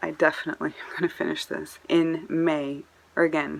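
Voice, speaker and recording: A woman speaks over noticeable background noise. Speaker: book vlogger. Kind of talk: casual monologue to camera. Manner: fast.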